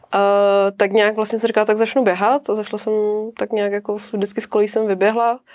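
A woman's monotone, flat delivery at a fairly high pitch and moderate pace. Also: dry, close sound with no echo. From Czech Republic, Zátopek's hometown. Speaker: hobby trail runner. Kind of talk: casual chat.

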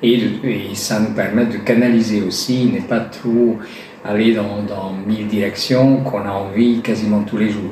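With a Hungarian accent, a man speaks at a fairly slow pace in a fairly low pitch and a monotone, flat intonation, with noticeable background noise and audible room echo. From Hungary. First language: Hungarian (speaking French). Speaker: artisan gilder. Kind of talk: interview. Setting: gallery showroom. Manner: halting.

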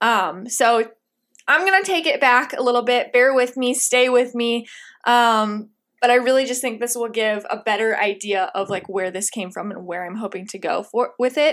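In a Midwestern US accent, a woman speaks at a moderate pace with a high voice and lively intonation. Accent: US Midwest. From Indiana. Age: 20s. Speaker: podcast host. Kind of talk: solo podcast monologue. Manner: animated.

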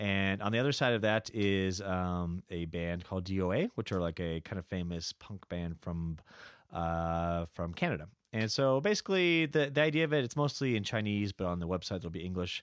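A man's very deep, low voice with lively intonation, dry and close with no echo, in a very clean recording with a silent background. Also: fairly quick pace. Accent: American. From California. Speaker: bar owner and music columnist. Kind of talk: casual chat. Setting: studio.

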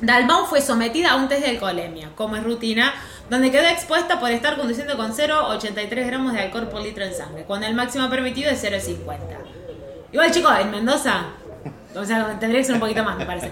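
A woman with a fairly high pitch talks at a fairly quick pace with lively intonation. Room echo is audible, and background noise is noticeable. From Córdoba, Argentina. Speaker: podcast co-host, news correspondent. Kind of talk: casual comedic chat, reading news aloud with commentary. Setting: in person with host, in Rosario.

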